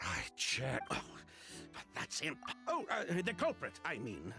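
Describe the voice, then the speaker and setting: Over clear music in the background, a man uses a put-on character voice at a fairly slow pace. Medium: video game. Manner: nervous, laughing.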